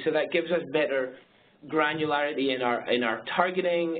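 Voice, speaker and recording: A man with a fairly high pitch is speaking. Noticeable background noise and audible room echo are present. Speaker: marketing agency presenter. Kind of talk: webinar presentation. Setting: webinar. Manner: fast; halting.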